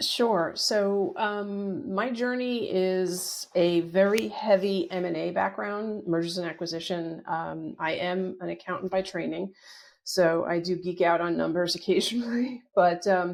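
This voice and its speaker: An unremarkable speaking voice with an American accent moves at a fairly slow pace. It has ordinary pitch variation and hardly any pauses. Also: woman, medium pitch for a woman. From northern New Jersey, US. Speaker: company CFO, accountant. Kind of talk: interview.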